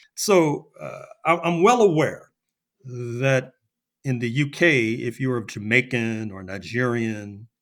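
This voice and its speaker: An American-accented man at a medium pitch, with lively intonation, big swings in loudness, a very slow pace and a very clean recording against a silent background. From US. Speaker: historian. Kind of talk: podcast interview. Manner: halting with repetitions.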